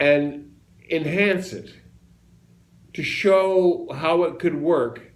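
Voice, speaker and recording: Over audible room echo, a man with a high pitch speaks at a very slow pace with ordinary pitch variation and long, frequent pauses. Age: 80s+. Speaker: entrepreneur. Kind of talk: casual chat. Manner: halting.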